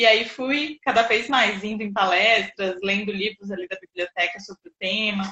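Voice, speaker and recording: With ordinary pitch variation, an ordinary speaking voice keeps to a moderate pace. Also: woman. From Jundiaí, São Paulo state, Brazil. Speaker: sports psychologist. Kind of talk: interview conversation.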